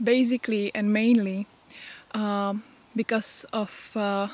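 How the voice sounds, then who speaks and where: A woman with a Czech accent speaks at a very slow pace, her pitch fairly high. Her intonation stays fairly even, and the sound is dry and close with no echo. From Czech Republic. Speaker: pagan vlogger. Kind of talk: casual vlog talk. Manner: halting, many fillers.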